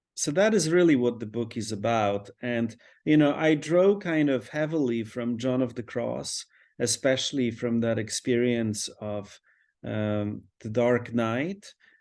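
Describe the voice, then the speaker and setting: At a fairly slow pace, a man with a Polish accent speaks at medium pitch with ordinary pitch variation against a quiet background. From Poland. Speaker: priest and author. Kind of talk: interview conversation. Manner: reflective, with frequent fillers.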